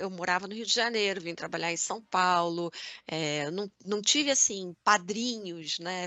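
An unremarkable speaking voice, this woman's is medium in pitch with ordinary variation and moves at a fairly slow pace. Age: 50s. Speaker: podcast co-host, marketing director. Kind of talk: casual chat.

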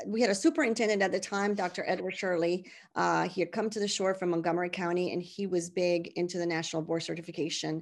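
Against a quiet background, a woman with a Spanish accent talks at a fairly quick pace and medium pitch with ordinary pitch variation. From Puerto Rico (San Juan). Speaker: high school Spanish teacher. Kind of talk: interview.

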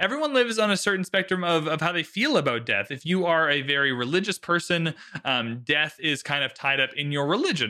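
This man talks fairly quickly in a normal speaking voice, with ordinary pitch variation. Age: 20s. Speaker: film podcast host. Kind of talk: casual chat.

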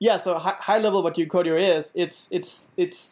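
A man with a Danish accent, high-pitched, with ordinary pitch variation, at a moderate pace. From Denmark. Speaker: software engineer. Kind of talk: casual interview chat. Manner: halting, many fillers and repetitions.

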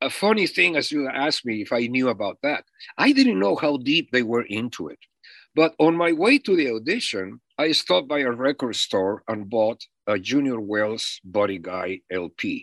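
A man speaks at a moderate pace with very wide pitch swings. The sound is dry and close with no echo, over a quiet background. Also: medium pitch for a man. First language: not English. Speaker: musician, drummer. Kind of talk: interview storytelling.

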